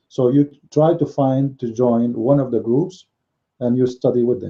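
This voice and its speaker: Speaking at a moderate pace, a man with a non-native accent uses a medium pitch. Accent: noticeable foreign. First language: not English. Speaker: religious commentator. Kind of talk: live-stream commentary monologue. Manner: halting, many fillers and repetitions.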